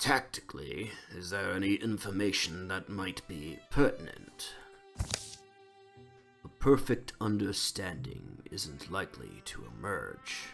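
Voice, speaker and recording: A man uses a put-on character voice, fairly low in pitch, with very wide pitch swings and big jumps in loudness, speaking at a fairly slow pace over faint background music. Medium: game stream.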